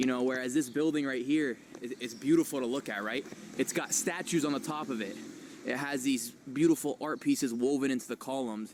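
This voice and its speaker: A plain, everyday voice from a man with an American accent, fairly high in pitch, with ordinary pitch variation at a fairly quick pace. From USA. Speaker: streamer. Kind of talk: live street stream and vlog narration. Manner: casual.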